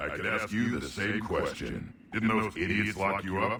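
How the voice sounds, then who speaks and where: A man puts on a character voice, fairly low in pitch and monotone, flat in intonation. He talks at a moderate pace over clear background noise. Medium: video game. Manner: gruff, blunt, battle-hungry.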